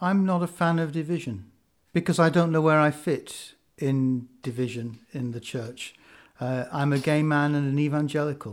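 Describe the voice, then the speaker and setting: On a very clean recording with a silent background, a man talks at a moderate pace. His pitch is fairly high, with ordinary variation. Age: 50s. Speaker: rural parish priest. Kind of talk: panel discussion. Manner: halting, many fillers.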